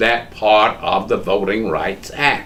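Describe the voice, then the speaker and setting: A man with a Southern US accent talks at a very slow pace. Room echo can be heard around him. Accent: US South. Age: 70s. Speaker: lawyer. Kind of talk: oral history interview.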